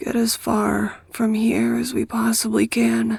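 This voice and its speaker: A man puts on a raspy character voice at medium pitch, speaking at a fairly slow pace. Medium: read story. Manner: wary, defiant.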